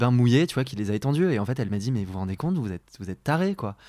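Lively intonation from a man on a very clean recording with a silent background. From France, rural Beaujolais. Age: 20s. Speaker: podcast guest. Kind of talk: casual chat. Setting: at the host's home. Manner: hesitant, many fillers.

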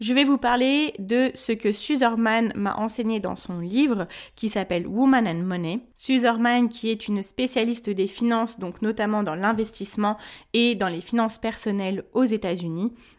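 On a very clean recording with a silent background, a woman with an ordinary speaking voice talks at a fairly slow pace, with a fairly high pitch and ordinary pitch variation. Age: 20s. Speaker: podcast host on personal finance. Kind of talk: solo podcast monologue.

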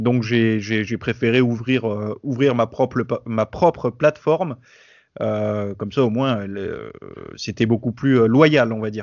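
A very slow-talking man, his pitch varying in an ordinary way. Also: medium pitch for a man. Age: 30s. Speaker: fitness YouTuber and podcaster. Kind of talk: casual interview. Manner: hesitant, many filler words.

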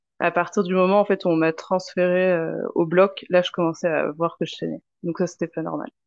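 At a moderate pace, a woman talks in a medium pitch with a normal speaking voice. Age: 30s. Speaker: mother sharing birth experience. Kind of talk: testimony.

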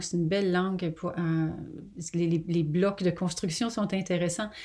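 Her voice is an unremarkable speaking voice, a woman at medium pitch with fairly even intonation. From Quebec. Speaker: novelist. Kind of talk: interview. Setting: remote call.

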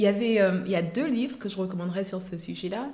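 In an Ivorian accent, a woman speaks at a fairly slow pace with ordinary pitch variation, amid audible room echo and noticeable background noise. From Côte d'Ivoire, Abidjan. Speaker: cosmetics entrepreneur. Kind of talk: interview.

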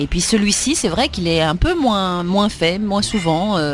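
This is a woman's voice. Noticeable background noise runs underneath. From Switzerland, Lausanne. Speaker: actress and children's book author. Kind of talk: interview.

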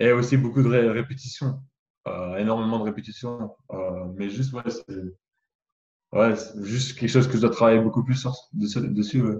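Somewhat breathy, the voice keeps a fairly even intonation at a moderate pace. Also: man, medium pitch for a man. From France. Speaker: basketball draft prospect. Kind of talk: video interview.

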